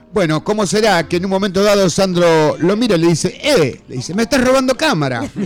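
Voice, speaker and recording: Music plays behind a man with a high pitch. He talks at a fairly quick pace, and his pitch swings very widely. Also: hardly any pauses. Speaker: rockabilly musician. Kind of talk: radio interview.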